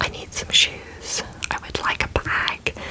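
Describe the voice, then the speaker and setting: Whispered words come at a fairly slow pace, with noticeable background noise behind them. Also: woman. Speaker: ASMR creator. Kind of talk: casual talk to camera.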